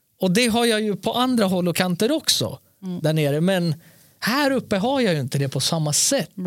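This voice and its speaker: A man speaks in an animated tone, his high voice swinging very widely in pitch at a moderate pace. The recording is very clean, with a silent background. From born in Serbia, moved to Sweden around age four. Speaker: podcast co-host. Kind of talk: casual chat.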